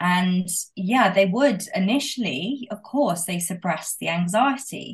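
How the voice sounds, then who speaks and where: A woman speaks with a British accent at a medium pitch and a somewhat breathy quality. Her intonation is lively. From UK. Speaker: guest sharing sobriety story. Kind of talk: casual interview chat.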